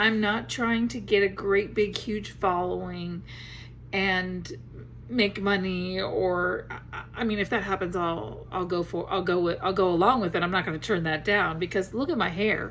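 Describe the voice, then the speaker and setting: Vocal fry marks this woman's medium-pitched voice. She keeps a moderate pace with ordinary pitch variation. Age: 60s. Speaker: grandmother vlogger. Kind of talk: casual talk to camera.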